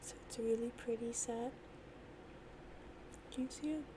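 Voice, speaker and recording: The speaker is soft-spoken and talks at a moderate pace over noticeable background noise. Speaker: ASMR creator. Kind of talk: ASMR soft-spoken talk to camera.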